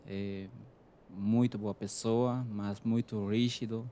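A man speaks in a Spanish accent. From Peru. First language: Spanish (speaking Portuguese). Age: 30s. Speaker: chef. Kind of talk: interview.

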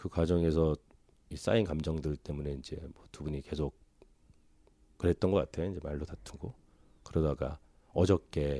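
A man speaks with a very deep, low pitch and a dark, mellow tone at a moderate pace. His pitch varies in an ordinary way, and the recording is very clean with a silent background. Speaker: counseling client. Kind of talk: personal counseling conversation. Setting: counseling room.

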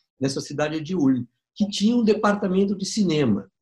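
A man speaks at a moderate pace in a somewhat breathy voice with very wide pitch swings. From Brazil, São Paulo. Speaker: documentary filmmaker. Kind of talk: interview storytelling.

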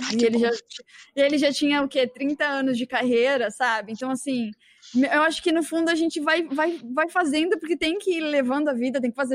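A woman speaks with high pitch at a fairly quick pace. Her pitch variation is ordinary, and the sound is dry and close with no echo. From Brazil. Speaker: podcast host. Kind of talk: casual chat.

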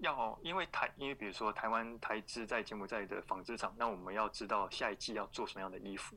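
With a bright, sharp tone, the voice moves at a fairly quick pace. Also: man. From Taiwan. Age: young. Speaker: former expat office worker. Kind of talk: podcast interview.

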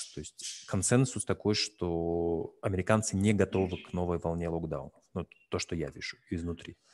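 Over music in the background, a man speaks at a very deep, low pitch and a moderate pace, with ordinary pitch variation. His loudness swings widely, and the sound is dry and close with no echo. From Russia, North Caucasus (Nalchik). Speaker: investor group co-founder, host. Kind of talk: interview.

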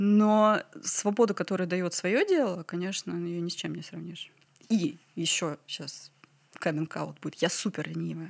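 A woman with an unremarkable speaking voice, fairly low pitch and ordinary pitch variation is heard in a very clean recording with a silent background. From Ryazan, Russia. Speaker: flower farmer. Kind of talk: casual interview chat.

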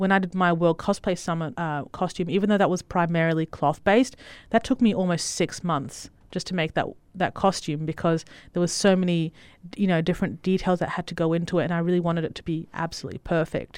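A woman with an Australian accent talks very fast at a fairly low pitch and with fairly even intonation. The recording is very clean, with a silent background. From Italy, then Western Australia. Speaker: cosplayer and costume maker. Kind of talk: casual chat.

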